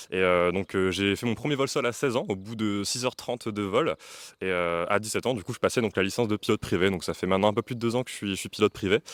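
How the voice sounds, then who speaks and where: Recorded very cleanly with a silent background and a dry, close sound with no echo, a man speaks at a very fast pace with a fairly low pitch and ordinary pitch variation. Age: 20s. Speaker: young pilot and aviation instructor. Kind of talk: interview.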